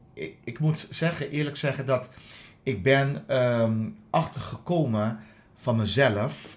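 Somewhat breathy and with lively intonation, a man talks at a very slow pace. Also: medium pitch for a man. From Aruba. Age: 50s. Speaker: dental hygienist. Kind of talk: interview. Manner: halting.

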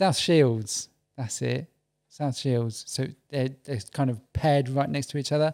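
A man speaks at a fairly slow pace with medium pitch and ordinary pitch variation, in a very clean recording with a silent background. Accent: English. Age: 40s. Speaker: podcast guest. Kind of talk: casual chat. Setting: studio.

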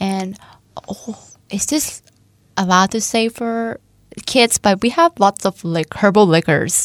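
In a Thai accent, a woman with a medium pitch speaks at a very slow pace, the sound dry and close with no echo. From eastern Thailand. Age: 20s. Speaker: nursing student. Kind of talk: radio interview.

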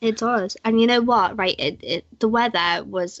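A woman speaks with a British accent and fairly even intonation. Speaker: podcast host. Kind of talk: casual chat.

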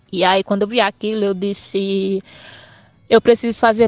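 A normal speaking voice with fairly even intonation. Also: woman. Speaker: math student teacher. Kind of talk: personal testimony.

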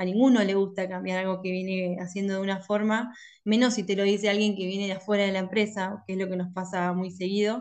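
A woman with a Rioplatense accent, very fast and hardly pausing, in a flat monotone. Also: medium pitch for a woman. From Argentina, La Plata. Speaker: industrial engineer and consultant. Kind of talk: interview. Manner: hesitant, many fillers.

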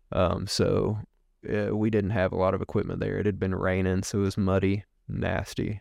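With a very deep, low pitch and an East Tennessee accent, a man speaks at a moderate pace in a monotone, flat delivery, the sound dry and close with no echo over a quiet background. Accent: Southern US (East Tennessee). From US South, East Tennessee. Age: 30s. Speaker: podcast guest. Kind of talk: casual interview, personal storytelling. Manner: hesitant, many fillers and repeats.

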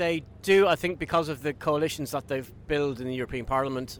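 This man has an Irish accent and a fairly high pitch. He talks at a fairly quick pace with ordinary pitch variation. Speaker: interviewed member of the public. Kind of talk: street interview.

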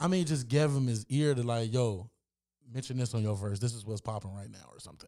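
A man's dark, mellow tone in a very clean recording with a silent background. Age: 30s. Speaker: podcast host. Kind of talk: casual chat.

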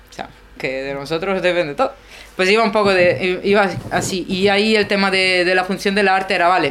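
Against noticeable background noise, a woman speaks at a fairly quick pace in a medium pitch with ordinary pitch variation. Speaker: sculptor sharing personal doubts in a group. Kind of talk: personal sharing in group discussion. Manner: fast; halting, many fillers and repetitions.

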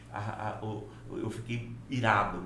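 A man is speaking. Background noise is noticeable, and the room echo is audible. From Brazil, Rondônia (Porto Velho), born in Minas Gerais. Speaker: engineer and professor. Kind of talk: casual interview chat.

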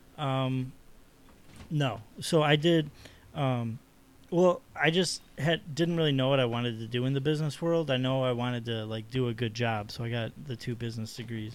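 Here is a man with a plain, everyday voice, pitched in the medium range. Moderate pace, ordinary pitch variation. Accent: American. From Chicago South Side. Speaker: artist. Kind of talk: casual chat.

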